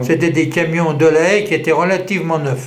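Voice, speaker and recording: A man with fairly even intonation, amid noticeable background noise and audible room echo. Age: 80s+. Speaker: war veteran. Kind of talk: testimony. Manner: halting.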